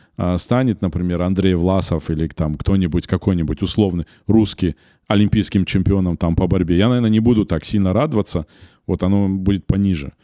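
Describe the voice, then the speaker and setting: A man's very deep, low voice with a dark, mellow tone and a slight Ossetian accent, at a fairly quick pace with ordinary pitch variation, in a very clean, silent recording with a dry, close sound and no echo. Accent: slight Ossetian-tinged accent in Russian. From North Ossetia, Beslan. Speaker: media company director, podcast co-host. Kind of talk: casual podcast conversation. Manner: hesitant, many fillers.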